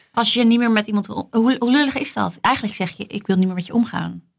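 A somewhat breathy voice talks at a very fast pace with ordinary pitch variation. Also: woman. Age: 30s. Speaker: flight attendant. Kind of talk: casual chat.

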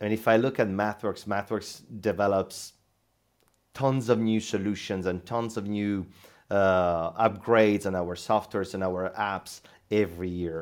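A man with an Italian accent, fairly low in pitch, at a moderate pace with fairly even intonation, on a very clean recording with a silent background. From central Italy. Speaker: sales team manager. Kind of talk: interview conversation. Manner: halting, many fillers and repetitions.

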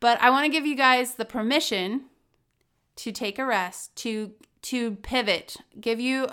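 A woman at a very slow pace, her intonation fairly even. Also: very clean recording, silent background. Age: 30s. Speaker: podcast host, entrepreneur. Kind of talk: casual solo podcast monologue.

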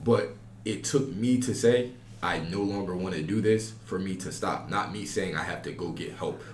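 Somewhat breathy and fairly low-pitched, a man speaks at a moderate pace with ordinary pitch variation amid audible room echo. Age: 20s. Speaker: college podcast host. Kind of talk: casual chat.

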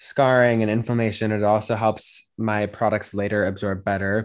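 A man with an American accent, fairly low-pitched, an ordinary speaking voice, fairly even intonation and a moderate pace over a quiet background. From Colorado, Denver. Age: 20s. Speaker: model and photographer. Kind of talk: interview.

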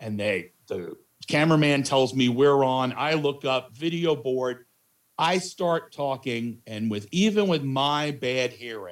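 His intonation is lively. The man keeps to a fairly slow pace. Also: medium pitch for a man. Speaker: in-arena announcer. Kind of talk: casual chat. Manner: loud.

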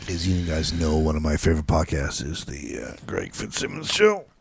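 A man mumbles in a put-on character voice with a very deep, low pitch. His pace is moderate. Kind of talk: podcast voice. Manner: mumbly.

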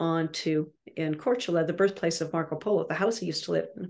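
In a plain, everyday voice, a woman speaks at a fairly quick pace and fairly low pitch against a quiet background. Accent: Canadian. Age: 60s. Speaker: landscape painter and art instructor. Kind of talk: interview monologue. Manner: casual, with frequent fillers.

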